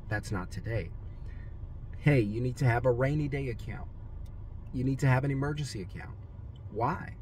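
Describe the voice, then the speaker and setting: A man with vocal fry at a moderate pace over light background noise. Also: medium pitch for a man, ordinary pitch variation, dry sound with no echo. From Louisiana. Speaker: business coach; money mindset coach. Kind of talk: motivational talk. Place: car. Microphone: phone near.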